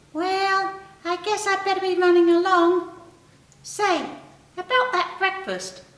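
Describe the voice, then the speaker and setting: Someone uses a put-on character voice at a fairly slow pace, leaving long, frequent pauses. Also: woman, extremely high pitch for a woman. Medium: read story. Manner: earnest.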